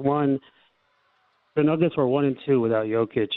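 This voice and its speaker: A plain, everyday voice with fairly even intonation. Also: man. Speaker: caller. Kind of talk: fan call-in, casual opinion. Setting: phone call.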